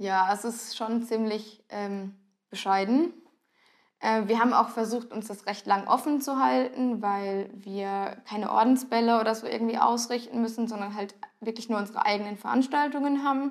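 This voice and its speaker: A woman has a normal speaking voice at a fairly high pitch. Her intonation is fairly even and her pace moderate. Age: 20s. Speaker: carnival club dancer. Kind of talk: casual interview.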